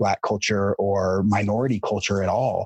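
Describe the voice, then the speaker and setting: In an ordinary speaking voice, a man talks at a fairly slow pace with fairly low pitch and fairly even intonation, the sound dry and close with no echo. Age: 30s. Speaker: guest sharing personal story. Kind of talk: interview conversation.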